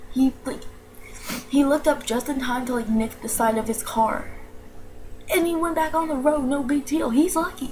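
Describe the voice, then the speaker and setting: The speaker has an American accent, ordinary pitch variation, and a moderate pace with long, frequent pauses. Noticeable background noise runs underneath. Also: woman, high pitch for a woman. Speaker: vlogger. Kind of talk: casual vlog. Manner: quiet; animated.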